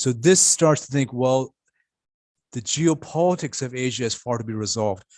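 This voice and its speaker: A man at medium pitch with an unremarkable speaking voice, ordinary pitch variation and a moderate pace, in a very clean recording with a silent background. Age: 60s. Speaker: futurist panelist. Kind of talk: panel discussion.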